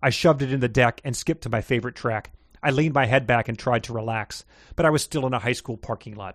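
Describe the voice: Pitch variation is ordinary in this plain reading aloud.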